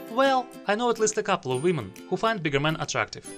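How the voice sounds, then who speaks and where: Over music in the background, a man with a non-native accent talks at a fairly quick pace, his pitch swinging very widely. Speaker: video essayist. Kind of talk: argumentative video essay commentary.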